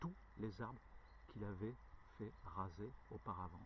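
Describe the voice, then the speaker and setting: Using vocal fry, a man speaks at a very slow pace while his pitch swings very widely. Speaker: hiking vlogger. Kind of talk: storytelling; casual vlog narration. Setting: outdoors. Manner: halting, stutters; many filler hesitations.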